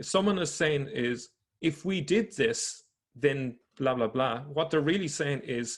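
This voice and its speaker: A man with an Irish accent speaks at a moderate pace with lively intonation on a very clean recording with a silent background. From Ireland. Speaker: religion researcher / video presenter. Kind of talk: explanatory presentation. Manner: halting.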